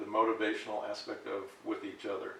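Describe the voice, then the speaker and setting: Over noticeable background noise, a man talks with audible room echo. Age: 60s. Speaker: health chat host. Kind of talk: interview. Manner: halting.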